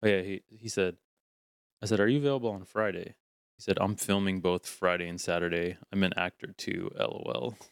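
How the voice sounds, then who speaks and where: A man with an American accent and a fairly low pitch speaks at a fairly quick pace with ordinary pitch variation, in an ordinary speaking voice. The recording is very clean with a silent background, and the sound is dry and close with no echo. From St. Petersburg, Florida. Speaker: podcast co-host. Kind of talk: casual banter.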